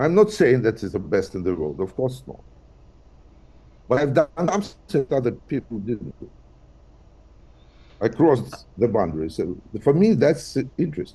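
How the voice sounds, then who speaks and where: Speaking at a moderate pace with long, frequent pauses, a man uses a dark, mellow tone with vocal fry, very wide pitch swings and big swings in loudness. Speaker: blues singer and physicist. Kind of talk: interview. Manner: halting.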